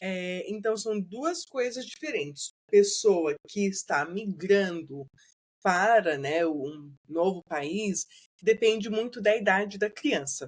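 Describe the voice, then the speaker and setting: A woman speaks very slowly with lively intonation. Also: medium pitch for a woman. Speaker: bilingual educator. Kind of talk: podcast interview.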